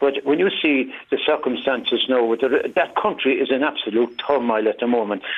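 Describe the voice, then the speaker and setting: A man in a Cork accent at a moderate pace, his loudness very even. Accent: Cork Irish English. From Ireland, Cork. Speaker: caller. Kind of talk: phone-in radio discussion. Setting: phone call.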